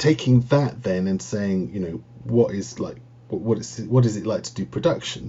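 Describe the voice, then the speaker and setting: Somewhat breathy and fairly low in pitch, a man speaks at a moderate pace with very wide pitch swings and big swings in loudness. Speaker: university lecturer. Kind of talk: casual interview.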